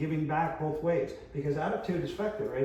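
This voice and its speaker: A man with a Canadian accent and an intense tone, amid noticeable background noise and audible room echo. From Canada, Winnipeg. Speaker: longevity coach. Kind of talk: talk to an audience. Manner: loud.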